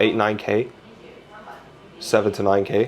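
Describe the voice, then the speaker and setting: Noticeable background noise sits behind a man talking in a British accent. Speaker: Pokemon card collector vlogger. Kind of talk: casual chat; vlog voiceover narration. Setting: inside a card shop in Tokyo.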